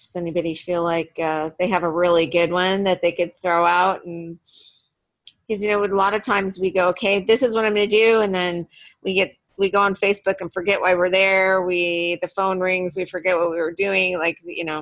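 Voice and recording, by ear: A woman speaks at a moderate pace in a fairly low pitch with a fairly bright tone. Her pitch moves very little.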